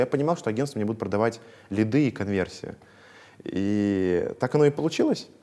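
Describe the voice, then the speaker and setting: The tone is dark and mellow. The pace is moderate. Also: man. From Russia, Veliky Novgorod. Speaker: entrepreneur. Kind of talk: interview.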